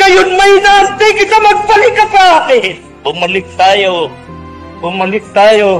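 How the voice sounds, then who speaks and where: A man's raised, projected voice with very wide pitch swings, over noticeable background noise. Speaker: church leader, preacher. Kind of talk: sermon, religious preaching. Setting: old archival recording. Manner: forceful, rhetorical.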